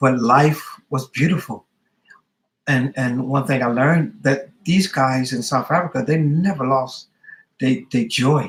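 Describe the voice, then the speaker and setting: A man speaks at a medium pitch with an American accent and ordinary pitch variation. His voice is somewhat breathy and his pace is fairly slow. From US West Coast, Los Angeles. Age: 50s. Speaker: hairdresser. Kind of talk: interview. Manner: halting.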